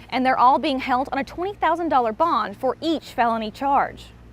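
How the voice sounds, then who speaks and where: High-pitched and lively in intonation, a woman speaks at a fairly quick pace. Noticeable background noise is present. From Tennessee. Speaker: TV news reporter. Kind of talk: TV news package voice-over.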